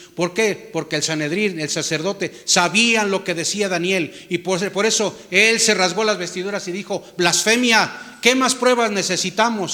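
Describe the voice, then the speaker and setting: A man's raised, projected voice, high-pitched, with ordinary pitch variation and hardly any pauses, over noticeable background noise. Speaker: pastor. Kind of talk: sermon.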